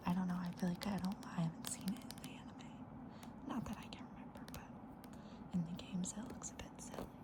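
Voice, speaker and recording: Fairly quick whispering in a gentle tone, with noticeable background noise. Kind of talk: ASMR soft-spoken talk to camera about a card collection. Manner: soft-spoken, gentle.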